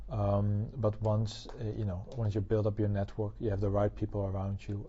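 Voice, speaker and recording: This man has a Dutch accent and a fairly low pitch. His voice is somewhat breathy. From Netherlands. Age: 20s. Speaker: tech company partner. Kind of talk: interview. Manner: halting, many fillers.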